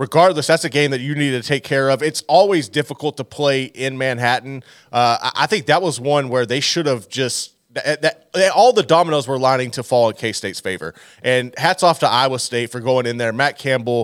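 A man's animated voice at medium pitch, with ordinary pitch variation and a fairly quick pace, dry and close with no echo, on a very clean recording over a silent background. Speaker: college football podcast host. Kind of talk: sports commentary. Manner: animated, conversational, opinionated.

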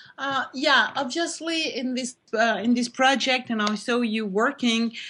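A woman speaks in a French accent at a fairly slow pace, with ordinary pitch variation. Her voice is somewhat breathy over a quiet background. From France. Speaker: art critic and curator. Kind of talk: panel discussion.

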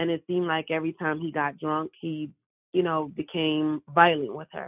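In an American accent, a woman speaks at a very deep, low pitch with monotone, flat intonation. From Brooklyn, New York. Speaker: abuse survivor and small business owner. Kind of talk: personal testimony interview.

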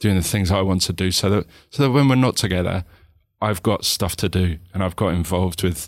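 A man speaks at a fairly quick pace with a very deep, low pitch. The recording is very clean, with a silent background. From Hertfordshire, edge of North London. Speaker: podcast guest sharing mental health story. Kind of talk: casual chat. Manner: halting, many repetitions.

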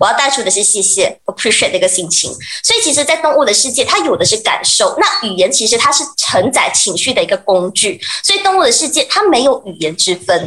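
Over noticeable background noise, a woman speaks fairly quickly in a high pitch with very wide pitch swings. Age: 20s. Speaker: pet communicator. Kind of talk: radio interview.

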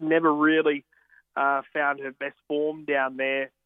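A man with an Australian accent speaks at a fairly slow pace. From Australia, country Victoria. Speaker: horse racing tipster. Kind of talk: casual chat.

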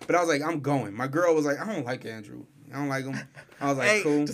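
The speech is very fast, with noticeable background noise behind it. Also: man, fairly high pitch for a man, ordinary pitch variation. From Salt Lake City. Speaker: radio personality, podcast guest. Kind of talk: casual, slangy.

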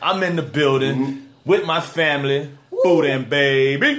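A man talks. Noticeable background noise is present. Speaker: show host.

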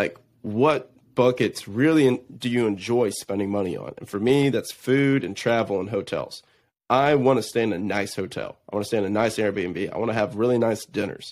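An energetic, animated male voice at medium pitch and moderate pace, with ordinary pitch variation, in a very clean recording against a silent background. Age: 20s. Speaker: entrepreneur and real estate investor. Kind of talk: casual interview chat.

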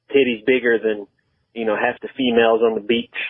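A man with a Southern US accent talks at a fairly quick pace and a medium pitch. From US South. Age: 20s. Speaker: caller. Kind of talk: phone-in voicemail. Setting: phone call.

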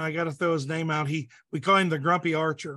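Bright and sharp in tone, a man with a Midwestern American accent speaks at a high pitch with fairly even intonation. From Southeast Indiana. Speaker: police chief and archery gear designer. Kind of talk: casual interview. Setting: online call.

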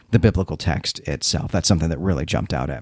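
A man with a Chicago accent and lively intonation. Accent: Chicago Midwestern American. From Chicago, US Midwest. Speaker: podcast host. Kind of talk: casual podcast recap.

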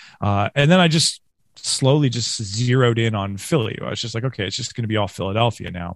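Recorded very cleanly against a silent background, a man speaks in an ordinary speaking voice with ordinary pitch variation. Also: medium pitch for a man, fairly quick pace. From Western New York, Rochester. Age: 40s. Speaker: podcast host, musician. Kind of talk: casual interview.

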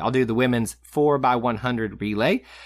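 At medium pitch, a man speaks with a Southern US accent at a moderate pace. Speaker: podcast co-host. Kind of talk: casual chat.

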